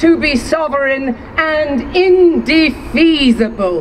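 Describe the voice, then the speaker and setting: A woman speaks in a passionate tone at a very slow pace. Noticeable background noise is present. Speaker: actress. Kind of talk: public reading of a historic proclamation. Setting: outdoors. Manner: powerful, passionate.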